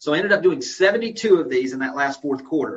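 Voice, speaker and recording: A man's very fast speech in a Southern US accent, with lively intonation. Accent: Southern US accent, noticeable. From Florida Panhandle. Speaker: real estate executive. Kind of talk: webinar presentation. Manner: casual, folksy.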